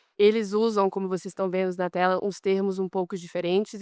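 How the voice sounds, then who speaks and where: Recorded very cleanly against a silent background, a woman speaks at a medium pitch with fairly even intonation, the sound dry and close with no echo. She has a plain, everyday voice. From Brazilian, raised abroad. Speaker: competition lawyer, panelist. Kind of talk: conference panel talk. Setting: conference stage with audience.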